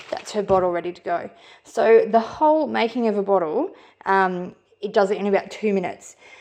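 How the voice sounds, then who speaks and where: A woman with an Australian accent, her pitch fairly high, at a moderate pace. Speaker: parent product reviewer. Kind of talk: product review tutorial. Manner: casual, brisk.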